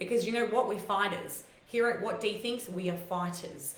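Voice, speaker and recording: A woman with lively intonation at a moderate pace, amid audible room echo and noticeable background noise. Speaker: livestream host. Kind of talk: live stream talk to viewers. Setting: live video stream.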